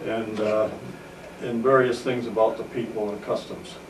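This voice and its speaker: With an American accent, the speaker talks at a moderate pace in monotone, flat intonation, with noticeable background noise and audible room echo. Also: man. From upstate New York, Oswego County. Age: 70s. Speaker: war veteran. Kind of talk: oral history interview. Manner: halting, many filler uhs.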